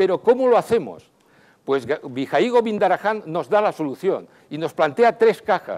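Lively intonation and high pitch from a man, at a moderate pace. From Valencia region, Spain (Xàtiva); Valencia, Spain. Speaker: speaker at entrepreneurship event; speaker. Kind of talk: short stage talk. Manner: halting. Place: hall. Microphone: lapel.

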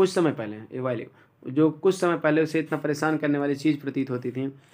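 Here is a man with an unremarkable speaking voice and a fairly high pitch. His intonation stays fairly even at a moderate pace. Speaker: English teacher. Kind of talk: lecture.

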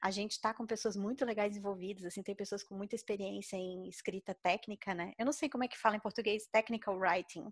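Talking very fast with hardly any pauses, a woman keeps a medium pitch and fairly even intonation. The sound is dry and close with no echo. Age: 30s. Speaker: mathematician and open-source software developer. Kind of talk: casual podcast interview.

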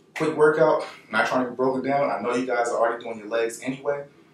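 In a room with audible echo, a man talks at a very fast pace. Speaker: fitness instructor. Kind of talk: workout tutorial. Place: home room. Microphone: camera far.

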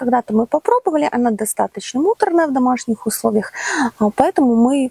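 Her voice is high with lively intonation, sounding dry with no echo against a quiet background. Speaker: channel host. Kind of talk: casual vlog chat. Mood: warm friendly. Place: farm. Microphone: lapel.

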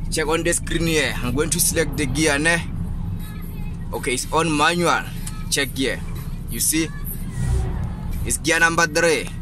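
Clear music plays in the background while a man speaks in a monotone with flat intonation at a moderate pace, with long, frequent pauses and a dry sound with no echo. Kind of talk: tutorial. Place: car. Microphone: phone near.

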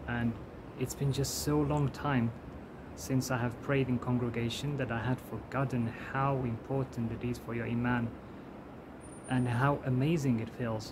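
A man's medium-pitched voice at a fairly slow pace, with little pitch movement

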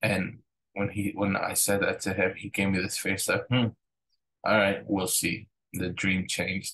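At a fairly slow pace, a man speaks in a fairly low pitch with monotone, flat intonation. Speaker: church pastor. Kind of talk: telling a story about a dream. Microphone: webcam.

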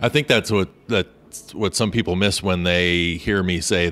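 A man talks in a very deep, low voice. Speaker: travel podcast host. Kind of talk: casual interview. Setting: breakfast nook at a hotel.

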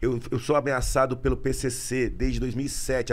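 A man talks with vocal fry. His intonation is monotone and flat. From Brazil. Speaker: police officer and online video creator; online video creator. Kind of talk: casual chat. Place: studio. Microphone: studio mic.

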